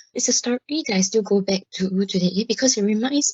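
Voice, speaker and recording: A woman speaks at a moderate pace with a medium pitch, a somewhat breathy voice, and ordinary pitch variation. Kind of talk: interview testimony. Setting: hospital PA radio programme.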